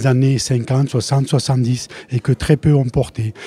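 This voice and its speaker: Dry and free of echo, the recording captures a man's medium-pitched, somewhat breathy voice with a dark, mellow tone. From France, Lozère; France. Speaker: retired primary school teacher and collector; retired primary school teacher. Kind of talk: interview. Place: hall. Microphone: handheld.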